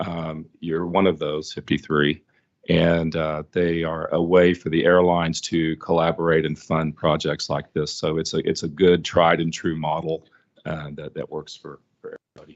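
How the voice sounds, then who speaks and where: In an Oklahoma accent, a man speaks at a moderate pace with a very deep, low pitch, flat monotone intonation, and big swings in loudness. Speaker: airline fuel consortium environmental representative. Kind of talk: public meeting remarks. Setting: public commission meeting, also on video call. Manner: halting, many fillers.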